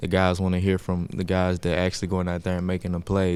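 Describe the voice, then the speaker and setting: Soft-spoken and very deep, a man talks in a monotone, flat way on a very clean recording with a silent background. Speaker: college football player. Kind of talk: press conference.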